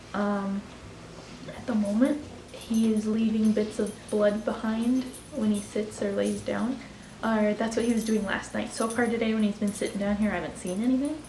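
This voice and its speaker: Whispering at a moderate pace, a woman is heard over noticeable background noise and audible room echo. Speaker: pet vlogger. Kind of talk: casual vlog. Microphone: quiet recording.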